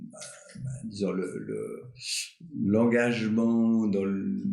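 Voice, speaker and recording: Through noticeable background noise and audible room echo, a man speaks at a very slow pace with a fairly low pitch. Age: 60s. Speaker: retired doctor and climate activist. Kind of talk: casual interview. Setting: live stream podcast. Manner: halting, many fillers and repetitions.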